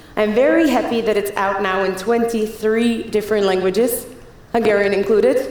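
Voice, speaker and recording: With noticeable background noise and audible room echo, a woman speaks at a medium pitch and a fairly quick pace in a Czech accent. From Czech Republic. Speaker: keynote speaker. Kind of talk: conference talk. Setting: stage with audience. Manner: fast; animated.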